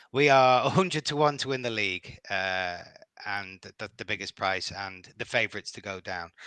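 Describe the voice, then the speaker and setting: A man with a Liverpool accent speaks at a moderate pace in a bright, sharp tone. The sound is dry and close with no echo, over a quiet background. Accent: Liverpool (Scouse). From Liverpool, England. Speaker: football fan. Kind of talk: podcast interview. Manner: halting, many repetitions.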